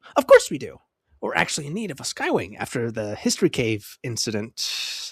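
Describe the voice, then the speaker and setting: A man's put-on character voice, fairly high in pitch, at a fairly quick pace, in a very clean recording with a silent background. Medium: read story. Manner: excitable, bubbly.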